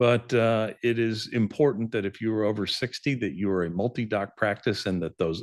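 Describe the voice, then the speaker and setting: A man talks in a normal speaking voice at a fairly quick pace and fairly low pitch. The pitch varies in an ordinary way, and the background is quiet. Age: 60s. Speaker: dental practice sales advisor. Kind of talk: webinar presentation. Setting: online webinar.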